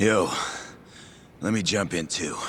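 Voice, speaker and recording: A man speaks in a put-on character voice that sounds raspy. Background noise is clearly audible. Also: fairly low pitch for a man. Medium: video game.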